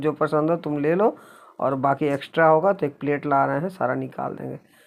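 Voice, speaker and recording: Very deep, low pitch from a woman, with fairly even intonation and a moderate pace, on a very clean recording with a silent background. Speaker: vlogger, retired teacher. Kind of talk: casual family vlog narration. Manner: conversational, meandering.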